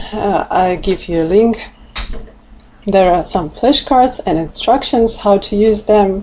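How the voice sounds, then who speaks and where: A woman speaks very slowly in a Russian accent. Her pitch is fairly high. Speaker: language teacher. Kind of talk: tutorial. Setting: livestream. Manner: halting.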